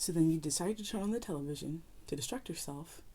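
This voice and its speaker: A soft-spoken woman talks at a very fast pace in a very deep, low voice with a dark, mellow tone and ordinary pitch variation. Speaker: YouTuber giving opinion. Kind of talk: opinion commentary video. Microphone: audio issues with mic.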